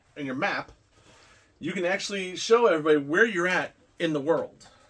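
At a moderate pace, the voice moves through very wide pitch swings. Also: man. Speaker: unboxing vlogger. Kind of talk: casual unboxing vlog chat. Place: home room. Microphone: camera far.

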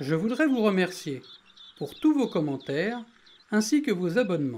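The speaker has a calm tone and a fairly slow pace, with noticeable background noise behind. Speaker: nature video narrator. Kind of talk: nature documentary narration. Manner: calm, measured, explanatory.

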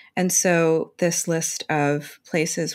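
A woman's very deep, low voice in an American accent, monotone and flat, over a quiet background. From New York. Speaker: podcast co-host, astrologer; podcast co-host. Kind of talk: casual chat. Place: home room. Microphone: earbuds.

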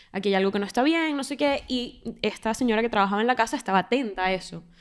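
This woman has a plain, everyday voice, fairly high in pitch, with lively intonation. She talks at a fairly quick pace against a quiet background. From Venezuela. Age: 20s. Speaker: podcast co-host. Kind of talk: casual interview conversation. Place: studio. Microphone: studio mic.

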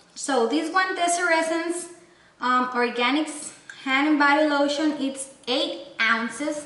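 Speaking very slowly with long, frequent pauses, a woman uses a raised, projected voice at a high pitch, keeping her loudness very even while room echo is audible. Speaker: beauty and lifestyle vlogger. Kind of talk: product haul video with giveaway. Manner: animated, enthusiastic. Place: home room. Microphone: camera far.

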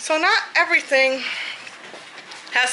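Over light background noise, a woman speaks at a very slow pace. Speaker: home vlogger. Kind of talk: casual vlog chat. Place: home room. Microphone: phone near.

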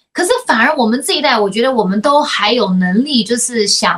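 Against a quiet background, a woman with a high pitch speaks at a fairly quick pace with lively intonation. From United States. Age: 40s. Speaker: podcast host. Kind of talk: casual chat. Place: home room.

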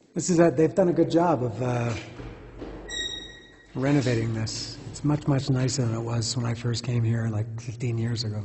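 A man talks at a moderate speed, his pitch varying in an ordinary way, with long, frequent pauses and noticeable background noise. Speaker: travel vlogger. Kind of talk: casual vlog chat. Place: hall. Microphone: phone near.

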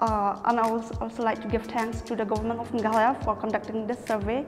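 Fairly quick, flat, monotone speech from a fairly high-pitched woman, with clear music in the background. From Meghalaya, India. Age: young. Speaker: college student. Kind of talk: interview answer. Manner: passionate. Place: classroom.

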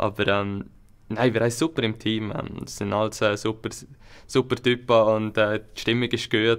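This man's voice sits at a medium pitch and keeps fairly even intonation. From Switzerland, Upper Valais; Switzerland. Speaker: alpine ski racer; guest. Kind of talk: interview. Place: studio.

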